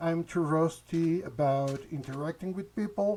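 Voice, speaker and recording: Lively intonation runs through this man's speech, which carries a non-native accent. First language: not English. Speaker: gaming YouTuber. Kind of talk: casual channel update. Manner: halting, many hesitations.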